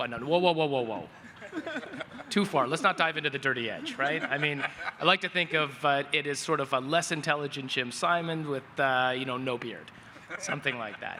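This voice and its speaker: Noticeable background noise sits behind a man speaking at a fairly quick pace. His pitch is fairly high with ordinary variation. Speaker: AI asset manager. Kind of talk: panel discussion. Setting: stage with audience.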